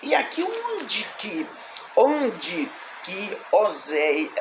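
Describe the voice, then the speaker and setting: Noticeable background noise accompanies a woman whose intonation is lively. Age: 60s. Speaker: evangelist, Bible teacher. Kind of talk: Bible study livestream. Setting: live stream. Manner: halting, many repetitions and fillers.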